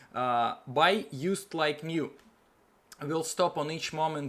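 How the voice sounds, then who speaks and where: A man's pitch varies in an ordinary way as he speaks at a very slow pace. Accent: non-native. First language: not English. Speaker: online seller, YouTuber. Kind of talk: tutorial. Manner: halting, many fillers.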